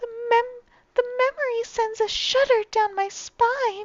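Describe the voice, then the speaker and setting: A woman's put-on character voice, squeaky and extremely high-pitched, flat and monotone, at a fairly slow pace. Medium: game stream. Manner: earnest.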